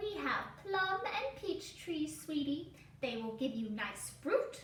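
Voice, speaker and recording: A woman's put-on character voice, high in pitch with very wide pitch swings, at a fairly slow pace with slight echo. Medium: read story. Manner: sugary, prim.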